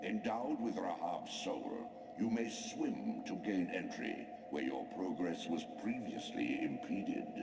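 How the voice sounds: Clear music plays behind a man doing a put-on character voice at a low pitch. He speaks at a slow pace with lively intonation and few pauses.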